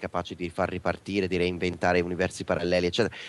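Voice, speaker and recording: A man speaks in a very deep, low pitch against a quiet background. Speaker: geek culture guest. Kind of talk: casual interview.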